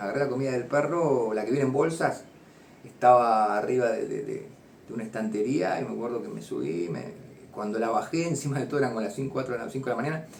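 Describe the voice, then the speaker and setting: In an Argentine accent, a voice with ordinary pitch variation rushes along at a very fast pace amid noticeable background noise and audible room echo. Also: man, medium pitch for a man. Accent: Rioplatense Argentine Spanish. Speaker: former addict turned recovery counselor. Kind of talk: personal testimony. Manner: halting, many repetitions and fillers.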